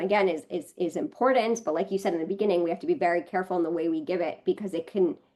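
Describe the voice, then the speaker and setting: A woman with an American accent at a very fast pace, with ordinary pitch variation. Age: 30s. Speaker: product manager, podcast guest. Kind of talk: casual chat. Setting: live podcast recording. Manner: halting, many fillers.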